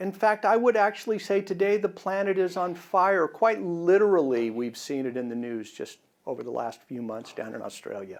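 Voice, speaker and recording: A high male voice with very wide pitch swings, big swings in loudness and hardly any pauses, on a very clean recording with a silent background. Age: 60s. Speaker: biology professor. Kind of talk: short public science talk. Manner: fast.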